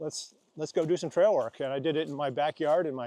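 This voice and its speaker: Over a quiet background, a man talks at a very fast pace in a fairly high pitch. His tone is dark and mellow, with fairly even intonation. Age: 60s. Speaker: ultra hiker and trail volunteer. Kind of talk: casual interview while walking. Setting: outdoors on a trail in rain.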